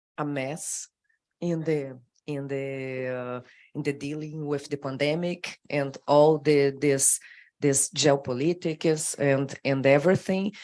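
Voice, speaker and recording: Speaking very slowly with a Brazilian accent, this woman has a very deep, low pitch, a dark, mellow tone and fairly even intonation. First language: Portuguese. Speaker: government official. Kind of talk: panel discussion. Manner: halting.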